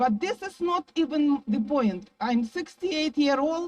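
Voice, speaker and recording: Her pitch high and swinging very widely, a woman talks at a fairly slow pace. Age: 60s. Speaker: rally speaker, tour guide. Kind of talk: protest rally speech. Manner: impassioned.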